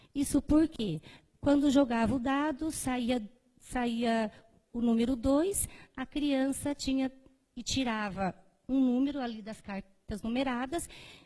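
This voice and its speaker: A woman speaks at a very slow pace in a high pitch, with a dark, mellow tone. Her pitch varies in an ordinary way, and she leaves long, frequent pauses. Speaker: primary school teacher and researcher. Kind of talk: conference presentation. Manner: hesitant, many fillers.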